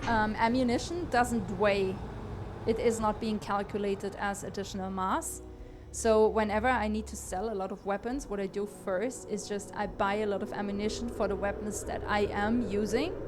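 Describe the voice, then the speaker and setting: Speaking with a non-native accent, a woman at medium pitch keeps fairly even intonation, with audible room echo and music in the background. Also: moderate pace. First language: not English. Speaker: gaming streamer and aspiring game designer. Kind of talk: live gameplay commentary. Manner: hesitant, many fillers and repeats.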